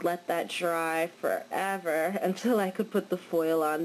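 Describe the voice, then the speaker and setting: Fairly low female voice amid noticeable background noise. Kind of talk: casual nail art tutorial talk. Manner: casual, hesitant with fillers.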